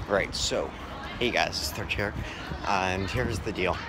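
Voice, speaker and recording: Crowd noise fills the background as a man speaks at a moderate pace in a dry sound with no echo. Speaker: gaming channel vlogger. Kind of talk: casual vlog chat. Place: street. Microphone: phone near.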